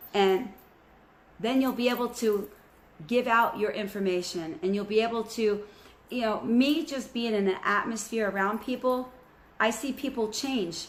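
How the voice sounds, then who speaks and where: A woman's normal speaking voice, a normal speaking voice at a fairly high pitch, moderately paced, with ordinary pitch variation. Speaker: spiritual channel host. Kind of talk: spiritual message to viewers.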